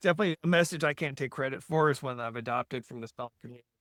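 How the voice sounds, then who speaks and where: Here is a man with an ordinary speaking voice, fairly high in pitch, with ordinary pitch variation. The recording sounds dry and close with no echo. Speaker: podcast host. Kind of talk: podcast interview talk.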